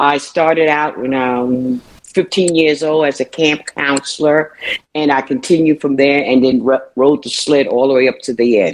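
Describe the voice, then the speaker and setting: A woman with a very deep, low pitch and a New York accent talks at a moderate pace with fairly even intonation. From Brooklyn, New York. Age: 70s. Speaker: retired city employee. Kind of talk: casual chat. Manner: jovial, humorous.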